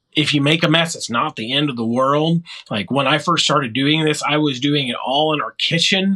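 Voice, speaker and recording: The delivery comes at a moderate pace in a normal speaking voice. Pitch varies in an ordinary way. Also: man, fairly high pitch for a man. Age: 40s. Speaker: disc dyer and disc golfer. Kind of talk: casual interview chat.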